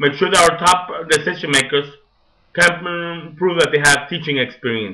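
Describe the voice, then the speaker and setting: The voice has a bright, sharp tone, a non-native accent and ordinary pitch variation. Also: man, fairly high pitch for a man, moderate pace. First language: Spanish. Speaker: teacher. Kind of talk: monologue.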